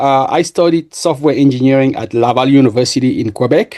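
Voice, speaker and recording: A man's dark, mellow voice, fairly high in pitch, with a French accent. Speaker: software engineer and entrepreneur. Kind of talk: podcast interview. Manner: halting, many fillers and repeats.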